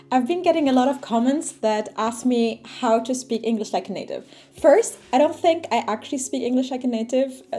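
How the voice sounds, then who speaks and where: A high-pitched woman's voice with ordinary pitch variation, set against noticeable background noise. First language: Arabic. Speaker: language learning youtuber. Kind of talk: casual vlog talk.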